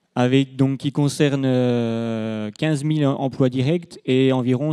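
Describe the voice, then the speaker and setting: A man at medium pitch, dark and mellow in tone, with fairly even intonation. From Franche-Comté, eastern France. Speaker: dairy farmer representative. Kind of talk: round-table panel talk.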